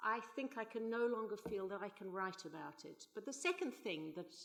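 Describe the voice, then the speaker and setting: Her pitch is fairly high, and this woman speaks at a moderate pace with very wide pitch swings. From South Africa, Johannesburg. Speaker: novelist and playwright. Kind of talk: conference panel talk.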